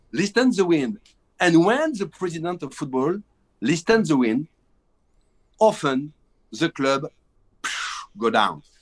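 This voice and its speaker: In a French accent, a man speaks at a fairly slow pace with a high pitch, very wide pitch swings and long, frequent pauses, in a dry, close sound with no echo. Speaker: film director. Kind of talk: interview. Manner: halting.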